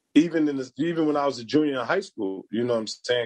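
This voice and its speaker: The sound is dry and close with no echo as a man talks with a New York accent. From New York City. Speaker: former basketball player and dribbling trainer. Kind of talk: casual interview chat. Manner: animated.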